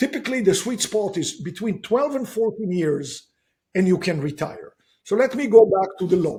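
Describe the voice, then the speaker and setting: A man's dark, mellow tone, high pitched, with a slight non-native accent, lively intonation and a moderate pace. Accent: slight foreign. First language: not English. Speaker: real estate investor and author. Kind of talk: podcast interview. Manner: animated.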